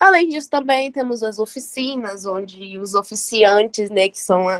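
The sound is dry and close, with no echo. A woman speaks at a medium pitch with ordinary pitch variation. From Vitória, Espírito Santo, Brazil. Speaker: student organizer. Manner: halting.

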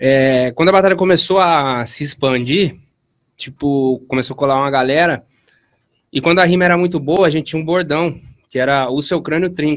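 A man with an ordinary speaking voice, pitched fairly high, keeps a moderate pace and ordinary pitch variation. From Piracicaba, São Paulo state, Brazil. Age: 20s. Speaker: clothing brand founder and rap battle organizer. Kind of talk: casual interview chat.

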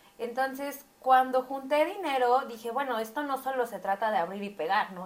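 A woman with an ordinary speaking voice talks at a moderate pace in a fairly high pitch, using lively intonation and big swings in loudness. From Mexico City. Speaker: eyelash artist and beauty academy owner. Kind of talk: casual chat. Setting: recording while live streaming on TikTok.

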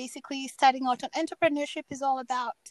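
With a Kenyan accent, a woman talks in a high voice and fairly even intonation, the sound dry and close with no echo. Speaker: podcast host, life coach. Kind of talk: interview podcast.

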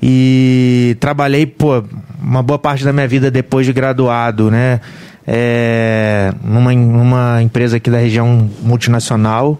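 Noticeable background noise sits behind a man speaking at a medium pitch and very slow pace. His intonation is monotone and flat, and his loudness stays very even. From Volta Redonda, Rio de Janeiro state, Brazil. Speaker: bar and restaurant owner. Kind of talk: casual chat.

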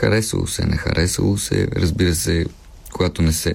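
A man talks at a moderate pace in a very deep, low pitch, with noticeable background noise around him. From Bulgaria, Pernik. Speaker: actor. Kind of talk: casual chat.

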